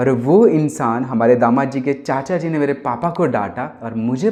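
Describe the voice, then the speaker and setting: A man talks in a fairly high voice with a dark, mellow tone. His intonation is lively. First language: Gujarati (speaking Hindi). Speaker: singer-songwriter. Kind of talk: casual talk to camera. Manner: animated.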